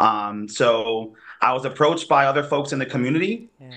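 A man speaks at a moderate pace in a medium pitch with ordinary pitch variation. It is an unremarkable speaking voice. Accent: American. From New Haven, Connecticut. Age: 30s. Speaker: community organizer. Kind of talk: interview.

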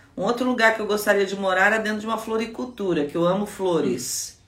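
Over noticeable background noise and audible room echo, a woman talks at a fairly quick pace. Her pitch is medium and her intonation lively. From Brazil, Guaratinguetá (São Paulo state). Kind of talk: devotional teaching talk. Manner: conversational.

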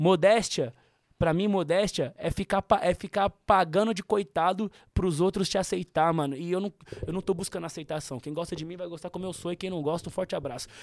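This man talks at a fairly quick pace in a high pitch with fairly even intonation, and the sound is dry and close with no echo. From São Paulo area, Osasco. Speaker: musician guest. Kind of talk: casual chat.

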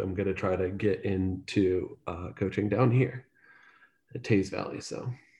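With an American accent, a man speaks fairly slowly at a fairly low pitch. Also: quiet background. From northeastern Ohio (Salem). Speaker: soccer fan and match producer. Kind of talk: casual chat.

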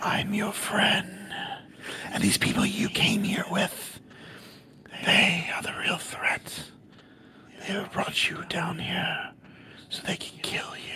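A raspy, whispered put-on character voice at a fairly slow pace, broken by long, frequent pauses. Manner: creepy, otherworldly, insinuating.

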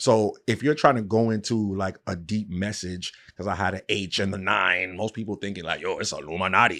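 A man with a New York accent, fairly low pitch and a bright, sharp tone, at a fairly quick pace with hardly any pauses and ordinary pitch variation, on a very clean recording with a silent background. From New York, Queens. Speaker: podcast host and interviewer. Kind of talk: casual interview chat.

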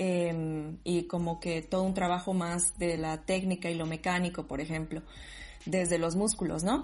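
A woman speaks at a fairly slow pace with a fairly low pitch. Her voice is somewhat breathy and her intonation fairly even. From Bolivia, Sucre. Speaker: dancer, DJ and psychologist. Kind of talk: casual interview.

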